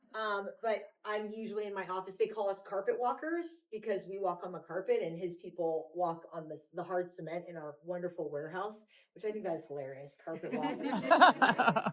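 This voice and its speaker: Speaking at a medium pitch and a moderate pace, a woman sounds animated, with ordinary pitch variation, big swings in loudness and hardly any pauses. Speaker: vice president of marketing at a thrift store chain, podcast host. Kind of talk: casual talk, welcoming a tour group.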